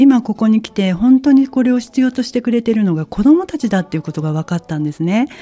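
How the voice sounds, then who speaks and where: A woman's fairly high, somewhat breathy voice with a dark, mellow tone and very wide pitch swings, very fast with hardly any pauses, in a dry, close sound with no echo. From Kansai, Japan. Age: 50s. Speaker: salon owner. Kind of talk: interview.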